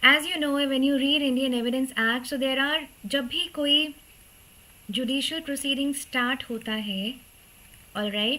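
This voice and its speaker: The voice belongs to a woman and is high in pitch. Its pitch variation is ordinary. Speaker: law teacher. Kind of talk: online live class lecture. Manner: slow; Hindi-English code-switching.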